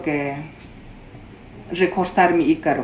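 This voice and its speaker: Against noticeable background noise, a woman with a fairly low voice speaks at a very slow pace. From Peruvian Amazon, Shipibo. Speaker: traditional healer. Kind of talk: interview. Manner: halting.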